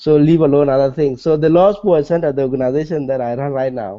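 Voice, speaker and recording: A man with a South Sudanese accent speaks at a fairly high pitch, using ordinary pitch variation. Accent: South Sudanese (Dinka) English. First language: Dinka. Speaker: nonprofit executive director. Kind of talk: interview.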